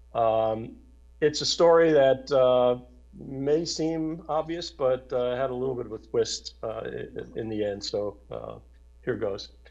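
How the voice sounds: In a slightly mellow tone with vocal fry, a man speaks at a fairly slow pace and a medium pitch, with ordinary pitch variation.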